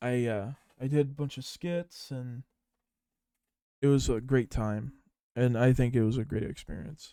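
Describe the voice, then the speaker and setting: Delivered at a fairly slow pace with long, frequent pauses, the speech has ordinary pitch variation and a dry, close sound with no echo. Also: man, medium pitch for a man. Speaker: podcast host. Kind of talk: casual solo podcast monologue. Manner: serious-sounding delivery; halting, many fillers.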